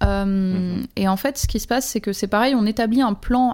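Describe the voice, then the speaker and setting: This woman's pitch is fairly high. Her intonation stays fairly even at a moderate pace. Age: 40s. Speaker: live-action role-player. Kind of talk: casual chat. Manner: halting.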